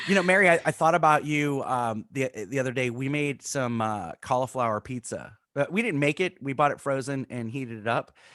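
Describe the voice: In a Florida accent, a man talks at a fairly quick pace with hardly any pauses, a medium pitch, ordinary pitch variation, and a bright, sharp tone. The recording is very clean with a silent background and a dry, close sound with no echo.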